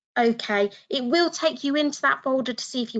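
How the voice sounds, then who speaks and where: Speaking in a British accent, a woman lets her pitch vary in an ordinary way. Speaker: education consultant, former teacher. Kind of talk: webinar tutorial. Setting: online webinar.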